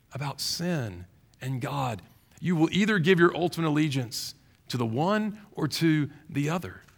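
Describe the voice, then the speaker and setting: A man speaks with a Southern US accent and a lively, bouncing intonation. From Louisiana, Baton Rouge. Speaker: pastor. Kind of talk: sermon.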